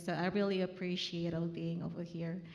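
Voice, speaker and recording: Delivered at a moderate pace, the clip has noticeable background noise and audible room echo. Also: woman. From Indonesia. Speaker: chemical lab team lead. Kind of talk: panel self-introduction. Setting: luncheon event with audience.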